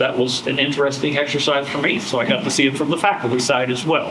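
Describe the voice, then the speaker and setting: The pace is fairly quick. There is audible room echo and noticeable background noise. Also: man. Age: 70s. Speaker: former school board member. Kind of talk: lecture. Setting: classroom with audience, no microphone. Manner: loud. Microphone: not mic'd, may be quiet.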